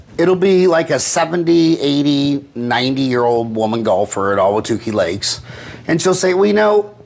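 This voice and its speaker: A man at a fairly high pitch and moderate pace, with very wide pitch swings, very even loudness and noticeable background noise. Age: 50s. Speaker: podcast host. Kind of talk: casual chat.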